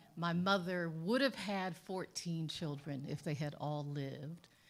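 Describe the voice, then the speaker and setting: There is audible room echo as a woman with a fairly low pitch speaks with ordinary pitch variation. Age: 60s. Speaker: lawyer and sociologist, guest speaker. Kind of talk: spoken talk to congregation.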